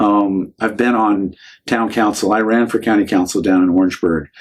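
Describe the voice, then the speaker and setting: This man's pitch sits fairly low and his intonation stays fairly even at a fairly quick pace. He has a plain, everyday voice. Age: 60s. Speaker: county party chairman. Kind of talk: podcast interview.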